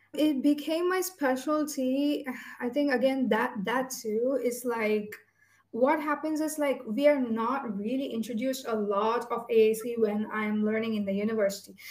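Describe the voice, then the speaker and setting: A woman's high-pitched voice with ordinary pitch variation at a fairly slow pace, with audible room echo. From India. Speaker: speech language pathologist. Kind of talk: casual interview.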